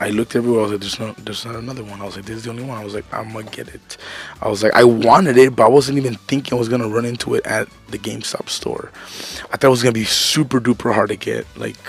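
Over faint background music, a man speaks very fast with fairly even intonation in a dry sound with no echo. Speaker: toy collector vlogger. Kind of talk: casual vlog chat. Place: home room. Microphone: headset.

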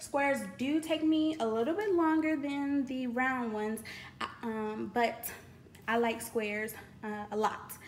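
A woman speaks in a high pitch at a fairly slow pace. Light background noise sits behind her. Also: ordinary pitch variation. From Louisiana. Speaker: YouTuber, crafting hobbyist; YouTuber. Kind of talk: product unboxing video. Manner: casual, chatty with fillers. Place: home room. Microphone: phone near.

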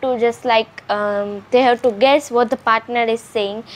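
Noticeable background noise sits behind a woman whose high-pitched voice moves at a moderate pace. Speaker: YouTuber, sister in a sibling challenge. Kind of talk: casual talk to camera. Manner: upbeat, chatty.

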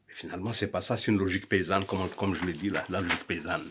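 A man with a Malagasy accent. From Madagascar. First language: Malagasy (speaking French). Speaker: musician and songwriter. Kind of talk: conference talk. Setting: auditorium. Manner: halting. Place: home room.

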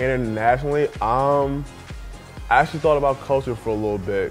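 Over faint music in the background, a man talks at a fairly quick pace with ordinary pitch variation. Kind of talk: interview answer. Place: home room. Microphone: lapel.

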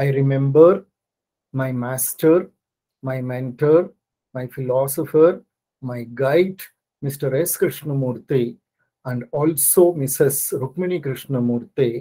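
A man with a dark, mellow tone, a very slow pace, long, frequent pauses, ordinary pitch variation and big swings in loudness, over a quiet background. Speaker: guest lecturer. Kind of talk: lecture. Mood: grateful, calm. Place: home room.

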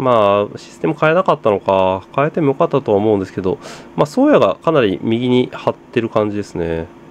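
Very wide pitch swings mark this man's fairly quick speech. Noticeable background noise runs underneath. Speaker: football commentary youtuber. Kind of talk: casual match watch-along commentary.

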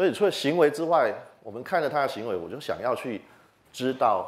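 A man speaks at a fairly quick pace with a noticeable vocal fry. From Taiwan, Chiayi; Taiwan. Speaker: entomology professor; university professor, lecturer. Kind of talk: popular science lecture. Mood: friendly, animated. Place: hall. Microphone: handheld.

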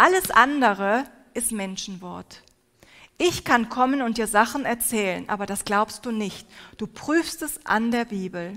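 At a fairly slow pace, a woman speaks in a fairly high pitch with a bright, sharp tone against a quiet background. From Turkey. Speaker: preacher. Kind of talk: sermon. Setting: stage with audience. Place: hall. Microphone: headset.

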